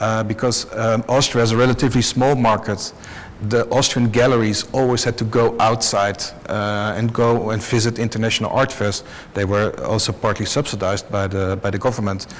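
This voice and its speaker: A man with a Dutch accent speaks at a fairly quick pace in a medium pitch, his intonation monotone and flat, with noticeable background noise. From Netherlands. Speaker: art fair director. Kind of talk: panel discussion. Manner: halting.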